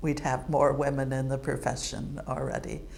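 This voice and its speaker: Audible room echo surrounds this recording. The woman speaking has an American accent. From United States. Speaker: retired computing professor. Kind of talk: interview monologue.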